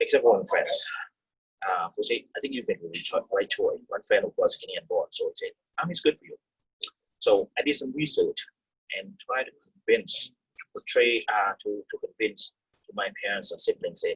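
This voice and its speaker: A man talks at a moderate pace, his loudness rising and falling sharply. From third-world country, immigrated to Canada as teen. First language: not English. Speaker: Canadian Army veteran. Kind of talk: personal testimony. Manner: halting.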